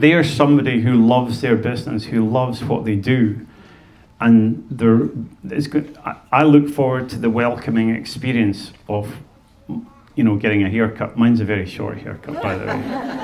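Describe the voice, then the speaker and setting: In a room with audible echo, a man with a Scottish accent speaks at a moderate pace with ordinary pitch variation. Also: medium pitch for a man. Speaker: fiddler and speaker on Scottish music. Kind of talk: talk to an audience. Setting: museum stage with audience and microphone. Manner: halting, with many repeated words.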